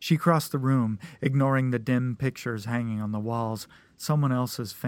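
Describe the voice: The clip consists of plain reading aloud.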